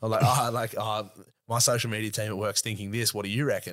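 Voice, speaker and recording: In a very clean recording with a silent background, a man talks at a very fast pace. His fairly low pitch stays monotone and flat. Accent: Australian. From Australia, Sydney north shore. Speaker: 4x4 YouTube content creator. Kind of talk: casual chat.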